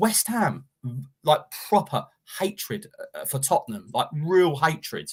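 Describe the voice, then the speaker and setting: Speaking at a fairly slow pace with a London accent, a man uses a high pitch, lively intonation, an animated tone, big swings in loudness and long, frequent pauses. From Enfield, North London. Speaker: football pundit. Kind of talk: casual chat.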